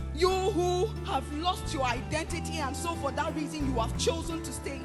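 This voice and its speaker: A woman speaks in a passionate tone while music plays in the background. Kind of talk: spoken word poetry, preaching-style delivery. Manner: passionate, powerful, rhythmic.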